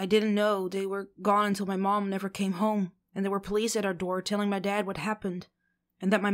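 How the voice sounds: The background stays quiet while a natural reading voice carries the text.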